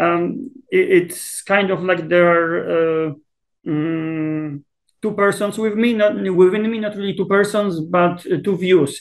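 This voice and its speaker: With a Polish accent, this man talks at a very slow pace. His pitch is high, with ordinary pitch variation. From Poland. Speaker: South Asia expert, political scientist. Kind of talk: interview. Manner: hesitant, many fillers and repetitions.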